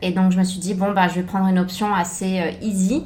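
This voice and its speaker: A woman with a medium pitch talks at a fairly quick pace in a somewhat breathy voice. Her intonation is monotone and flat, and the room echo is audible. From France. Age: 30s. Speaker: former private chef. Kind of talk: interview. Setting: podcast. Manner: hesitant, many fillers.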